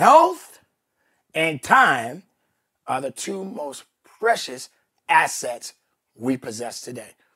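A man's fairly high, bright, sharp voice at a very slow pace, with lively intonation, big swings in loudness, and long, frequent pauses. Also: dry, close sound with no echo. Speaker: fitness coach, motivational speaker. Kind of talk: motivational speech. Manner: emphatic, forceful.

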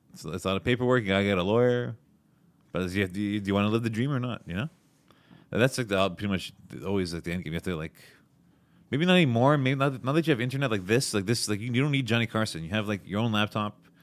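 Talking at a very fast pace with lively intonation, a man with a Montreal accent uses a fairly low pitch in a very clean recording with a silent background. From Montreal, Quebec. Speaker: comedian. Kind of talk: casual chat.

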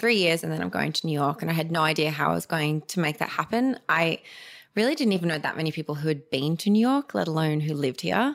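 In an Australian accent, a woman with a very deep, low pitch talks at a very fast pace on a very clean recording with a silent background. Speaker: digital communication specialist and beauty founder. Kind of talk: casual interview chat.

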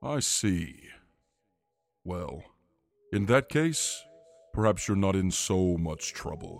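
A booming put-on character voice from a man, very deep and low in pitch, at a very slow pace with long, frequent pauses. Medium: actual play. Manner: regal, stately, slightly vain.

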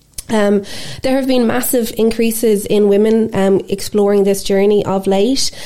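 Speaking at a moderate pace with an Irish accent, a woman keeps her loudness very even and her intonation fairly even at a medium pitch, against noticeable background noise. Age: 40s. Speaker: podcast host and life coach. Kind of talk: casual interview chat. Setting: studio.

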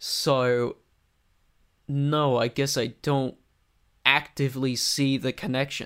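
A man with an American accent speaks very slowly at medium pitch, monotone and flat, with very even loudness and long, frequent pauses. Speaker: guest. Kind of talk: casual interview chat. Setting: video call from his room.

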